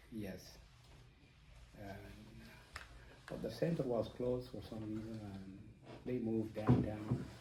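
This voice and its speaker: A man talks with fairly even intonation, big swings in loudness and long, frequent pauses, with audible room echo around him. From South Sudan, Dinka. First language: Dinka. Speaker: interviewee. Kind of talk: interview. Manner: halting, many fillers.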